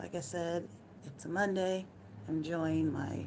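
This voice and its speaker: Speaking at a fairly slow pace in an American accent, a woman has a very deep, low pitch and lively intonation, with audible room echo. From United States. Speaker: live streamer. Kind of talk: casual chat. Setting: at home. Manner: relaxed.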